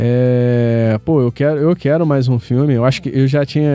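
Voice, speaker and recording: Noticeable noise sits behind the recording. A man talks with fairly even intonation. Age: 30s. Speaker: podcast host. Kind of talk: casual chat.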